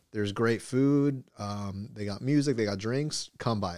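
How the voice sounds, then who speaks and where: A man's fairly low voice at a fairly slow pace, in a very clean recording with a silent background. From US, Mexican-American. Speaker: podcast co-host. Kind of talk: casual chat.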